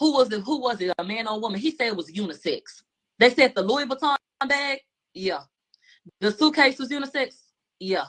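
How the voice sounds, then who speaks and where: A woman with a Houston accent talks at a fairly quick pace with lively intonation and a high pitch. Long pauses break up her speech often. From Houston, Texas. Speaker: trial commentator. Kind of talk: casual chat.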